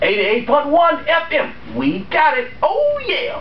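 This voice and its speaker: With audible room echo and light background noise, a man speaks at a fairly slow pace in an extremely high pitch that swings very widely. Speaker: guest recording a radio station promo. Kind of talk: casual studio talk while recording a promo. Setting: recording studio. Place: studio. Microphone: camera far.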